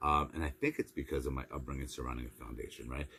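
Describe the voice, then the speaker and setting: Vocal fry runs through this man's speech, which keeps a fairly even intonation. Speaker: motivational speaker. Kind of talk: motivational monologue. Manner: fast; repetitive stammering restarts.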